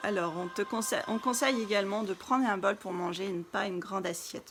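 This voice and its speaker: Over noticeable background noise, a woman at a medium pitch speaks at a very fast pace with ordinary pitch variation. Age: 30s. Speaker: wellness coach. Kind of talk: live stream talk. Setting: live video stream.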